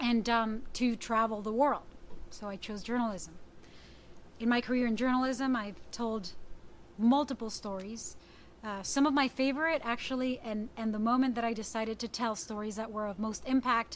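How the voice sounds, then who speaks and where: With a Spanish accent, the speaker keeps a moderate pace and fairly even intonation. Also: woman, fairly high pitch for a woman. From Puerto Rico. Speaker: journalist. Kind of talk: talk.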